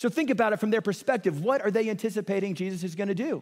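Lively intonation with an American accent, on a very clean recording with a silent background. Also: man. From US Midwest, Kansas City. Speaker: pastor. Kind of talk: sermon. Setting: church.

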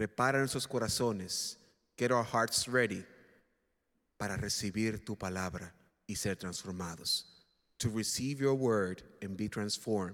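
A man with a Spanish accent speaks at a moderate pace in a fairly low pitch, with ordinary pitch variation and long, frequent pauses. The recording is very clean, with a silent background. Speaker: Spanish-language minister. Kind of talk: bilingual prayer. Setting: church.

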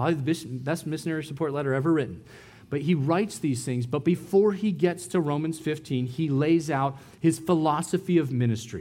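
Using an American accent, a man speaks at a fairly quick pace in a fairly high pitch with ordinary pitch variation and a dark, mellow tone. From US, San Diego. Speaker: missionary preacher. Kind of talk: sermon.

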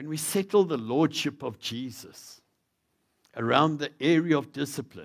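This man speaks with a South African accent. His intonation is lively. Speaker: visiting preacher. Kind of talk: sermon. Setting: church.

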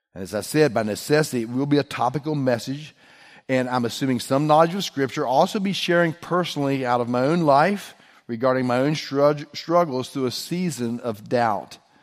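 A man with an American accent talks at a fairly quick pace in a medium pitch with ordinary pitch variation and an unremarkable speaking voice, on a very clean recording with a silent background. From West Virginia. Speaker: pastor. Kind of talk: sermon.

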